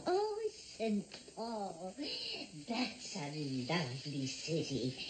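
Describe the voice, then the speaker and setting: This is a put-on character voice that sounds female. Background noise is clearly audible. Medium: short film. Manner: chatty, folksy, quizzing.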